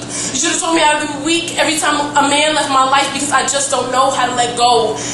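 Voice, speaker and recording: A woman's raised, projected, high-pitched voice at a very fast pace, flat and monotone, over noticeable background noise. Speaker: slam poet. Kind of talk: spoken word poetry slam performance. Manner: emotional, intense.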